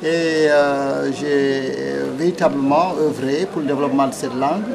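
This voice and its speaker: The pace is fairly slow. Audible room echo and noticeable background noise are present. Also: man. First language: Pulaar (speaking French). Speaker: politician and poet. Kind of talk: TV interview. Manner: hesitant, many fillers.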